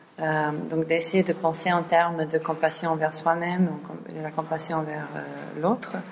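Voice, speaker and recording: Flat, monotone intonation comes at a fairly slow pace over light background noise. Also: woman, fairly low pitch for a woman. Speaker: seminar organizer. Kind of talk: seminar introduction. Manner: halting. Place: classroom.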